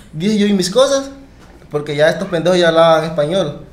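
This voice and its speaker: A man speaks with a high pitch and ordinary pitch variation. Audible echo from the room surrounds his voice. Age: 20s. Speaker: podcast guest telling his migration story. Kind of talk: casual chat, personal storytelling.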